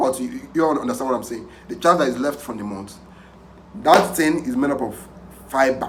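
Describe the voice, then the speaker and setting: In an animated tone at a fairly quick pace, the speaker uses ordinary pitch variation amid noticeable background noise and audible room echo. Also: man. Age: young. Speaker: pig farmer. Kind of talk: tutorial. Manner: halting.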